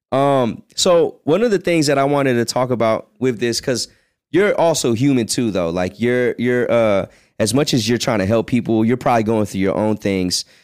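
A man with an American accent, an ordinary speaking voice, medium pitch, lively intonation, a moderate pace and very even loudness, on a very clean recording with a silent background. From Virginia. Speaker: podcast host. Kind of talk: casual chat.

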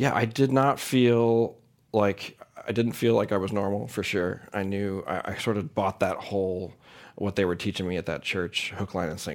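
A man's plain, everyday voice, fairly low-pitched, with an American accent, at a moderate pace with ordinary pitch variation, on a very clean recording with a silent background. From US Midwest, St. Louis, Missouri. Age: 40s. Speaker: singer-songwriter. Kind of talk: interview. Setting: live studio with audience.

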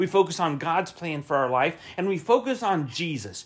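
A man with an American accent speaks at a moderate pace in a high voice with lively intonation. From US South, Florida (Winter Haven). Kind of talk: devotional sermon. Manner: repetitive, emphatic preaching.

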